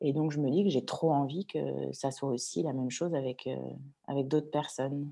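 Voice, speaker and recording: A woman speaks at a moderate pace in a very deep, low pitch, her dark, mellow tone carrying vocal fry and fairly even intonation. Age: 30s. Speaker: entrepreneur, former film industry worker. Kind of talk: interview. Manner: halting.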